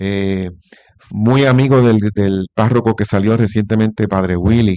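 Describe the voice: Speaking at a fairly slow pace, a man has a slightly mellow tone. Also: fairly low pitch for a man, fairly even intonation.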